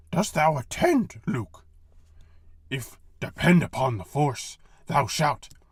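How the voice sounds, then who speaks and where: A man's raspy, put-on character voice. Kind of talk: Shakespearean pastiche. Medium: read story. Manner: inverted word order, archaic phrasing.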